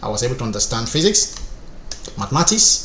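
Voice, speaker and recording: A man speaks over noticeable background noise. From Nigeria, Rivers State. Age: 30s. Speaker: structural engineer and online instructor. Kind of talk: personal life story.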